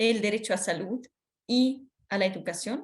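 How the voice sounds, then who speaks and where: A somewhat breathy woman with a Swiss accent, fairly high in pitch, with ordinary pitch variation. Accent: foreign accent, Swiss. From Switzerland. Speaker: workshop speaker on children's rights. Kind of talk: training lecture. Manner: hesitant, many fillers.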